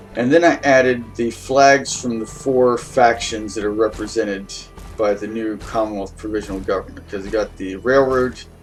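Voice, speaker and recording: Music plays in the background as a man speaks at a moderate pace and medium pitch. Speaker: gameplay video creator. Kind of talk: casual gameplay commentary. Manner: hesitant, many fillers.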